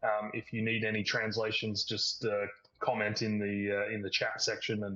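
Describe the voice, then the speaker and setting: Moderately paced, a man with a fairly low pitch and a bright, sharp tone speaks in a monotone, flat intonation. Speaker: webinar moderator, company executive. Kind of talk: webinar panel discussion. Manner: hesitant, many fillers.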